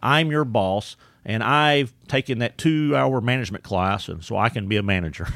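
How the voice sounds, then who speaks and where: Speaking in a strong East Texas accent, a man with a medium pitch uses lively intonation on a very clean recording with a silent background. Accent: strong East Texas Southern drawl. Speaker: employee development trainer and speaker. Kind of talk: casual interview chat. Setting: studio.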